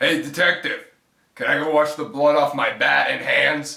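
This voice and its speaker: Using a raspy, put-on character voice, a man with a fairly high pitch speaks at a moderate pace. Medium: comedy sketch. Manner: casual, cheerful.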